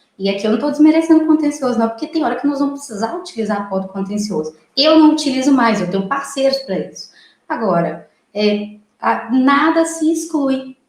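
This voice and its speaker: There is audible room echo as a woman speaks at a fairly quick pace in a high voice with lively intonation. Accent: strong Minas Gerais. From Brazil, military family moving around, born Mato Grosso. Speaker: lawyer and mediator. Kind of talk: interview. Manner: talkative, many fillers.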